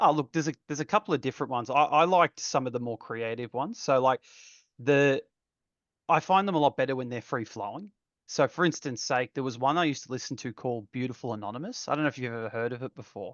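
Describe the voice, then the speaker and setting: A man speaks very fast in an Australian accent. His pitch is medium, with ordinary variation. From Australia, Geelong, Victoria. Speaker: architect designer. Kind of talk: casual chat.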